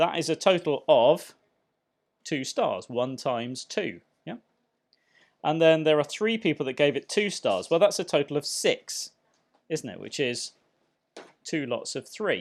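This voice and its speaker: Over a very clean recording with a silent background, a man with a fairly high pitch speaks at a fairly slow pace, using lively intonation and long, frequent pauses. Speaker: maths teacher. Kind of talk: tutorial. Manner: conversational.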